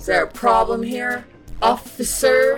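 Over clear background music, a female-sounding put-on character voice speaks at a fairly slow pace.

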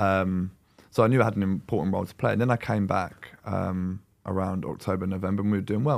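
A man with a London accent talks very fast at a fairly low pitch with ordinary pitch variation, in a very clean recording with a silent background. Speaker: professional footballer. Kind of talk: casual chat.

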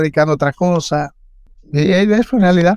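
A man with a Dominican accent speaks at a fairly quick pace in a high pitch, with ordinary pitch variation, a dry, close sound with no echo and a quiet background. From Dominican Republic, San Juan de la Maguana then Santo Domingo. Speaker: swimming instructor. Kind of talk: interview.

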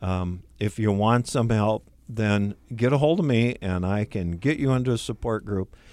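A man talks at a moderate pace in a fairly low pitch with ordinary pitch variation. It is a plain, everyday voice on a very clean recording with a silent background. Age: 60s. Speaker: support group leader. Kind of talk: radio interview. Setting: radio studio.

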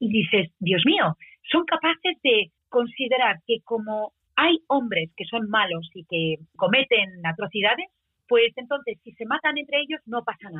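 This woman's pitch is fairly high. It swings very widely as she talks. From Spain. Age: 40s. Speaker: singer-songwriter. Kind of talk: radio interview. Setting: radio show.

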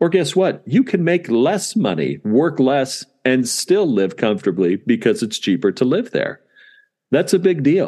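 A man with an American accent, fairly high-pitched yet dark and mellow in tone, with vocal fry, very wide pitch swings and a fairly slow pace, over a quiet background. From Southern California. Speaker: dentist and practice owner. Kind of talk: interview.

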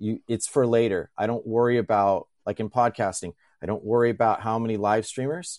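Recorded with a dry, close sound and no echo, a man with an unremarkable speaking voice talks fairly quickly at a medium pitch with ordinary pitch variation. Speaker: viewer joining live, speaker and podcaster. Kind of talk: casual conversation. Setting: video call.

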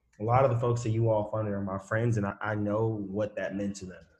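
Somewhat breathy male voice, fairly low in pitch, at a moderate pace with fairly even intonation. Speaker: podcast co-host. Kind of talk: casual interview.

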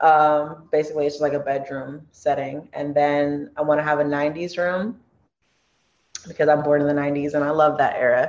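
With a Californian accent, a woman talks in a very deep, low voice. Her intonation stays monotone and flat at a moderate pace. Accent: Californian American English. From Los Angeles, Torrance. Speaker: comedy skit creator and singer. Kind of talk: casual interview.

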